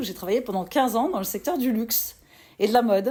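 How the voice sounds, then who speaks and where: A woman is speaking with lively intonation. Her tone is dark and mellow. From US, New York. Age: 40s. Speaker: entrepreneur. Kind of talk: interview. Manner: hesitant, many fillers.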